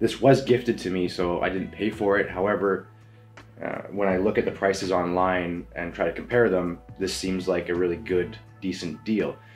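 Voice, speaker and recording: Very deep and low, a man's voice moves at a moderate pace with ordinary pitch variation while faint music plays behind him. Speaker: photography reviewer. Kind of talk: product review talk. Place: home room.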